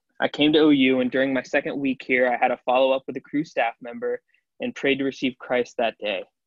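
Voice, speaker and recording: In a Midwestern American accent, a man talks at a fairly quick pace with a fairly high pitch and a monotone, flat intonation. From Ohio, Cincinnati area. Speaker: college student. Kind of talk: testimony.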